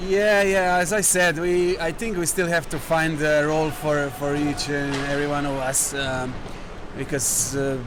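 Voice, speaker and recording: A man talks in a fairly high pitch. Noticeable background noise and audible room echo are heard around him. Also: ordinary pitch variation, moderate pace. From Slovenia. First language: Slovenian. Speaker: hockey player. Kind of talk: interview. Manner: halting.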